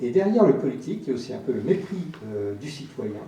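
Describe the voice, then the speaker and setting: Fairly quick male speech with audible room echo and noticeable background noise. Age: 60s. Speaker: audience member asking a question. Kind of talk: audience question at a public debate. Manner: halting, many hesitations.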